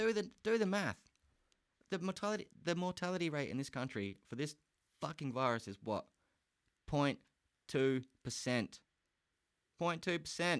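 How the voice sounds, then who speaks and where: A man with an Australian accent, fairly high-pitched, with very wide pitch swings and long, frequent pauses. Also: moderate pace. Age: 30s. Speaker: podcast host. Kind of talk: casual solo podcast rant. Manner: animated.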